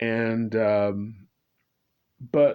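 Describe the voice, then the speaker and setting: An American accent from a man. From California, Bay Area. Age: 60s. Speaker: political commentator vlogger. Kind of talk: monologue. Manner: halting.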